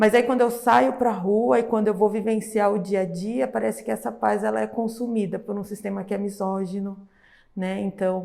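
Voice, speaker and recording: A woman speaks with a dark, mellow tone. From São Paulo, Capão Redondo (south periphery). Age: 30s. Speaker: social educator. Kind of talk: podcast interview.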